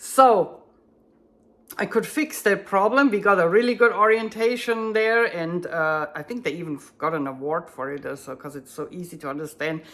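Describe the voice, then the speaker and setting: A woman with a German accent, very wide pitch swings and big swings in loudness. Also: medium pitch for a woman, moderate pace. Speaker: bass student and translator. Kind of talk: tutorial. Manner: halting, searching for words.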